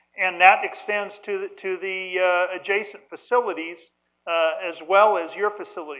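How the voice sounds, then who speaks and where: Loud speech at a moderate pace with fairly even intonation. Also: man. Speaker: nuclear engineer, symposium panelist. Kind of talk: conference panel talk. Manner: halting, many repetitions.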